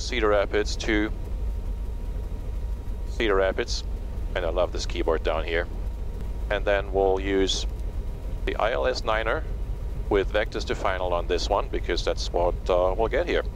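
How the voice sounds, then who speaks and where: Fairly slow, a man speaks with very even loudness and long, frequent pauses. The sound is dry with no echo, with light background noise. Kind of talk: tutorial. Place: plane. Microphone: headset.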